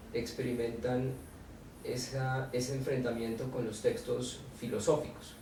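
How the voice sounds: At a fairly slow pace, a man speaks with a medium pitch amid audible room echo.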